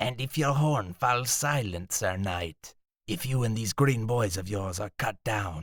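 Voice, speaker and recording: A man's put-on character voice at a medium pitch with lively intonation, on a very clean recording with a silent background. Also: fairly slow pace, dry, close sound with no echo. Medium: read story. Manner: blunt.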